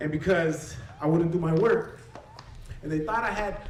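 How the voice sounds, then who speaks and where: A man with a high pitch speaks at a fairly slow pace, with ordinary pitch variation. The room echo is clearly audible. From Southern California (Westminster), Mexican-born. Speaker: English professor and storyteller. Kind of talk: personal testimony talk to audience.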